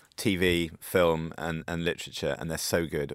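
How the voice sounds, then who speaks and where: A man with a British accent speaks in a very deep, low pitch on a very clean recording with a silent background. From UK. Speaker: magazine editor. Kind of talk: radio discussion.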